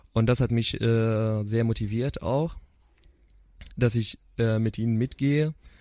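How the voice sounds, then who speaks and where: Over a very clean, silent background, a man at medium pitch speaks very slowly with fairly even intonation, very even loudness, and long, frequent pauses. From Syria. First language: Arabic (speaking German). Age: 20s. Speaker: psychotherapy student. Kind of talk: interview. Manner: halting.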